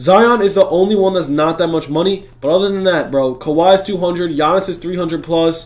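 A man's animated voice, high in pitch, at a moderate pace with ordinary pitch variation. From Greek heritage. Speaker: gaming YouTuber. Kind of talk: gaming tutorial. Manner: casual, animated.

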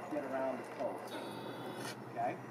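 Moderate pace amid noticeable background noise. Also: man. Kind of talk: work briefing instructions. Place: open country. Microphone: camera far.

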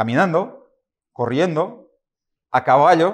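Over a quiet background, a man speaks at a fairly slow pace with lively intonation. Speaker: preacher. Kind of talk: sermon. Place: church. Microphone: podium.

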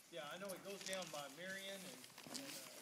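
Loud background noise surrounds the speaker. A man talks at a moderate pace. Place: forest. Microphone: phone near.

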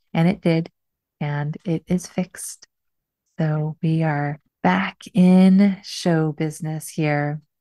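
A woman with a very deep, low pitch and a dark, mellow tone is heard over a quiet background in a dry sound with no echo. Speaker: podcast host. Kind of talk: podcast intro monologue. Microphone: studio mic.

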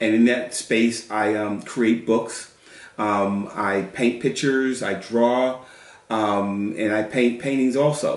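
With an American accent, a man speaks with fairly even intonation. Room echo is audible. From US South, North Carolina. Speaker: children's book illustrator. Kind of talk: casual chat. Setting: at home, kitchen counter. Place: kitchen. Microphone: camera far.

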